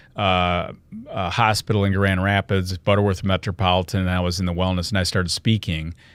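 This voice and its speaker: In a Michigan accent, a man with a very deep, low pitch speaks at a fairly quick pace with monotone, flat intonation on a very clean recording with a silent background. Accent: US Midwest (Michigan). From Michigan, Lansing. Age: 60s. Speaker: health and wellness speaker, company founder. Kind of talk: podcast interview. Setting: studio.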